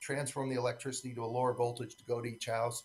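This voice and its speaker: Breathiness is somewhat present in a man's voice. He talks at a very fast pace. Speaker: electric cooperative industry advocate. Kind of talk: conference keynote speech.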